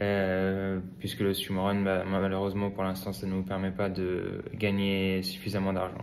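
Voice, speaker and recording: Fairly even in intonation, a man's very deep, low voice carries audible room echo. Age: 20s. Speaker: swimrun athlete. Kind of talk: interview. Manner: hesitant, many fillers.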